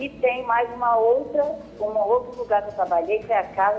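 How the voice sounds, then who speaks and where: A woman speaks in a fairly high pitch. Music plays in the background. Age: 60s. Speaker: caller. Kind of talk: call-in question.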